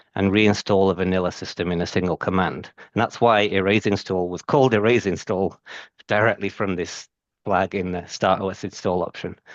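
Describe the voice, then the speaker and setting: A man with a British accent speaks at a moderate pace with fairly even intonation, the sound dry and close with no echo and the background quiet. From UK. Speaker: IT systems engineer presenter. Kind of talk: technical presentation.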